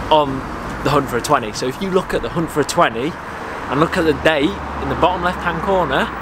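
With ordinary pitch variation and a fairly quick pace, a man speaks as noticeable background noise continues. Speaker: fishing vlogger. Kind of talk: casual vlog chat. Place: garden.

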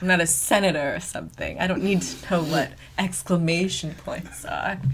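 Music plays in the background as a woman speaks at a moderate pace in a fairly low voice. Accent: American. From US Northeast (New Hampshire). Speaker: podcast host. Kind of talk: casual chat. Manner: animated.

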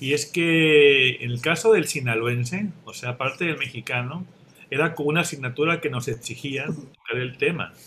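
Bright and sharp in tone, a man speaks at a moderate pace with lively intonation over light background noise. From Mexico. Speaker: writer; panelist. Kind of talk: panel discussion. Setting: video call. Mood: calm, reflective. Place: home room. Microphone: webcam.

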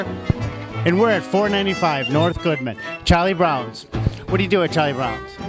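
Clear music plays in the background. Over it, a man speaks with very wide pitch swings. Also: fairly high pitch for a man, moderate pace. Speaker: infomercial host. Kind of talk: local TV infomercial interview. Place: cafe. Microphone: handheld.

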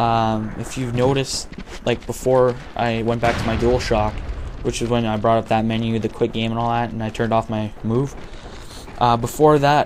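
Over noticeable background noise, a man speaks quietly at a medium pitch, with ordinary pitch variation and a moderate pace. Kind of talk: casual gameplay commentary. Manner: quiet, low volume.

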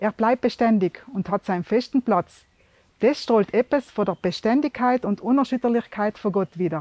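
A woman with a South Tyrolean accent speaks at a moderate pace, her fairly high voice dark and mellow in tone with ordinary pitch variation. The sound is dry with no echo, and the background is quiet. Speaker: devotional video host. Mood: calm, warm, sincere. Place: open country.

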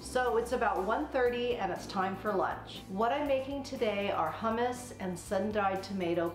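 Over clear background music and with audible room echo, a woman speaks at a moderate pace with ordinary pitch variation. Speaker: cooking vlogger. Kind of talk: casual vlog chat. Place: kitchen. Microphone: camera far.

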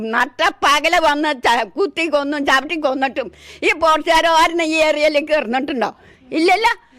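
A woman with a high pitch and a bright, sharp, animated tone holds her loudness very even while her pitch varies in an ordinary way. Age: 70s. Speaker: elephant attack eyewitness. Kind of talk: emotional testimony.

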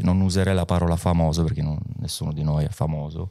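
In a quiet setting, a man speaks with a very deep, low pitch, a dark, mellow tone and fairly even intonation. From Calabria, province of Catanzaro. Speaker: DJ. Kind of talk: casual interview. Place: studio. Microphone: studio mic.

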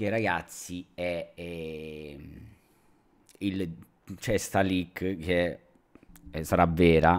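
Very slow speech from a man with a very deep, low pitch and fairly even intonation over a quiet background. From Reggio Calabria, southern Italy; southern Italy. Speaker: drone youtuber; tech youtuber. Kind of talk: live stream chat. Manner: casual, many fillers. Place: home room. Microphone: studio mic.

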